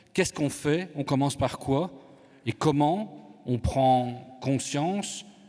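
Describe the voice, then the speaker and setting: Here a man speaks in a medium pitch. His intonation is lively. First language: Italian (speaking French). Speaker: conference moderator. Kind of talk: moderating a panel debate. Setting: conference hall with audience.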